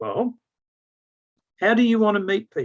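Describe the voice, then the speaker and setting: At a moderate pace, this man talks with an Australian accent. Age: 60s. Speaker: business consultant and sales trainer. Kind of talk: mentoring talk. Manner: animated.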